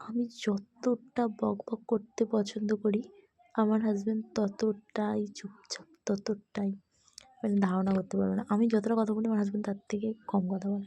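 Her pitch sits in the medium range for a woman. The intonation is monotone and flat. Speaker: lifestyle vlogger. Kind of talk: casual vlog narration. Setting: restaurant. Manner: chatty.

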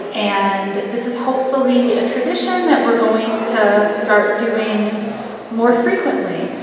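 Very slow pace with hardly any pauses, strong room echo and noticeable background noise. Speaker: gallery curator. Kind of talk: event introduction. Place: hall. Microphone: camera far.

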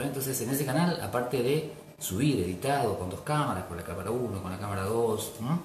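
Over light background noise and audible room echo, a man of medium pitch talks at a fairly quick pace with lively intonation. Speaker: journalist and radio and TV presenter. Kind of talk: casual talk to camera. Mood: warm, grateful. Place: home room. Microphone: webcam.

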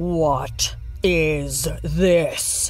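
Clear music plays in the background. The speaker uses a put-on character voice. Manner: sneering.

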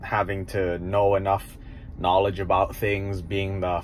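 Somewhat breathy and fairly low-pitched, a man talks at a fairly slow pace over light background noise. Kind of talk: casual vlog chat. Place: car. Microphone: phone near.

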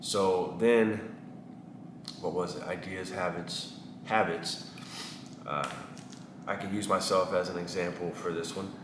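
With an American accent, a man with a very deep, low voice speaks at a fairly slow pace in a monotone, flat delivery, leaving long, frequent pauses amid noticeable background noise. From East Texas, US (small town). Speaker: barber and vlogger; vlogger. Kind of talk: casual vlog monologue. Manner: halting with many fillers. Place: shop.

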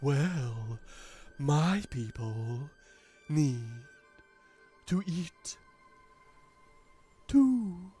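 With faint music in the background, a put-on character voice at a low-to-middle pitch moves at a very slow pace with long, frequent pauses.

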